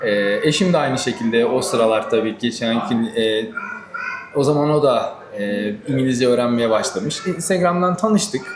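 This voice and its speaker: This man talks at a moderate pace, his medium-pitched voice swinging very widely in pitch. Noticeable background noise and audible room echo fill the recording. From Turkey, Manisa. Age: 30s. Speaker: groom-to-be, automotive worker. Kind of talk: interview. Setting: cafe.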